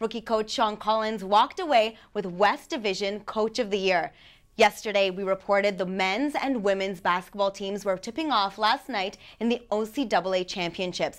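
Against a quiet background, a woman speaks at a moderate pace in an upbeat tone with ordinary pitch variation. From Canada. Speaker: student sports reporter. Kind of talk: brisk scripted sports news reading, scores and award names read straight off copy. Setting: studio. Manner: steady, even newsreader delivery with upbeat sign-off. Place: studio.

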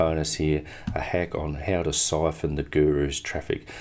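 Moving at a moderate pace, a man talks with a very deep, low pitch. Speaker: affiliate product reviewer. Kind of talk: screen-share product review. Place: home room.

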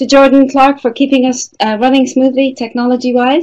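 A woman at a moderate pace over a quiet background. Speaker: webinar host. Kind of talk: webinar introduction. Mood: warm, grateful. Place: meeting room.

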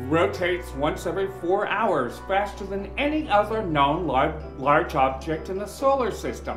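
A man at a fairly slow pace, with clear music in the background. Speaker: podcast host. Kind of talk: science podcast narration. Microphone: earbuds.

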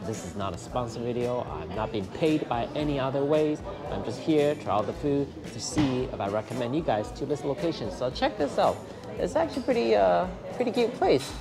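Fairly quick speech from a man, with clear music in the background. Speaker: food vlogger. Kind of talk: casual vlog chat. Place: cafe.

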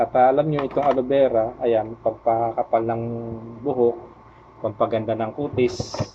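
Over noticeable background noise, a man with a medium pitch speaks at a fairly slow pace and fairly even intonation. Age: 50s. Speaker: vlogger. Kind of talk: tutorial. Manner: halting, many fillers.

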